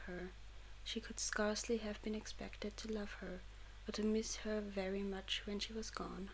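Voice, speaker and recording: The speaker is soft-spoken, with a German accent. Noticeable background noise can be heard. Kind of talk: audiobook reading for sleep.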